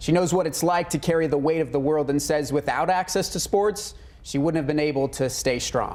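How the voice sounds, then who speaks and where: Fairly high for a man, this unremarkable speaking voice has an American accent, a fairly quick pace, fairly even intonation and very even loudness. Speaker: TV news anchor and sports reporter. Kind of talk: TV news anchor and sports reporting.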